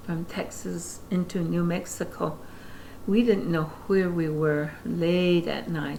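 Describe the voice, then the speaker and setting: Over noticeable background noise, a woman with an American accent speaks very slowly in a fairly low, monotone, flat voice. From Navajo Nation, American Southwest. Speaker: former Navajo Council secretary. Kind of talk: interview answer.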